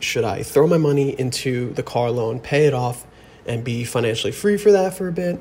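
A man speaks with an American accent and lively intonation. His voice is somewhat breathy. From New Jersey. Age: 20s. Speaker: caller. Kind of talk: voice memo question.

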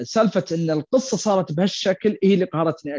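A man talks with a high pitch and ordinary pitch variation. His pace is fairly quick. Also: dry, close sound with no echo, quiet background. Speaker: returning guest film fan. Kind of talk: casual chat.

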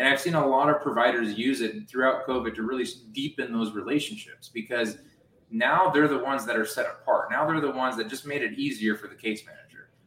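Over noticeable background noise, a man with an American accent talks at a very fast pace, his fairly high pitch showing ordinary variation. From US, family from Romania. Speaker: healthcare tech founder. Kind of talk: interview. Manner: repetitive, stammering restarts.

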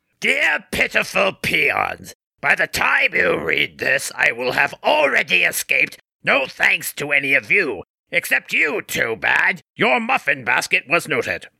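A man performs a cartoonish character voice at a fairly high pitch, swinging very widely in pitch. The tone is bright and sharp with vocal fry and a slightly husky edge, in a dry, close sound with no echo. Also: fairly slow pace.

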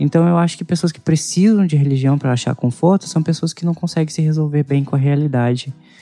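A man at a very fast pace with hardly any pauses, fairly high in pitch, with fairly even intonation, a dry, close sound with no echo, and music in the background. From Anápolis, Goiás, Brazil. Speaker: podcast co-host. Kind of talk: casual podcast chat.

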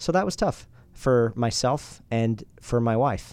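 Against a quiet background, a man with an American accent has a normal speaking voice at medium pitch with fairly even intonation. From Utah, US. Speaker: entrepreneur and podcast host. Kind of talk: casual interview. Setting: studio.

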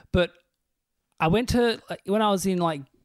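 A man talks at a fairly quick pace in an Australian accent. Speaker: comedian and podcast host. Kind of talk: casual chat.

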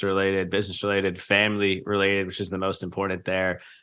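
On a very clean recording with a silent background, a man with an American accent and a fairly low pitch talks at a very fast pace in a bright, sharp tone. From US South, Charleston, South Carolina. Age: 20s. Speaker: podcast host. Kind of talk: casual interview chat.

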